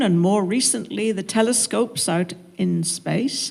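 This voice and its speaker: This woman speaks with a southwest English accent. Her pace is very slow. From southwest England, Devon-Cornwall border. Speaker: minister. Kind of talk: panel talk.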